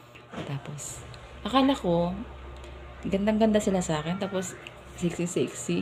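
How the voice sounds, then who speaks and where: An animated woman speaks at medium pitch and a moderate pace with lively intonation. Long, frequent pauses break her speech amid noticeable background noise. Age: 30s. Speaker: vlogger. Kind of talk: casual storytelling monologue. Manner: animated, laughing often.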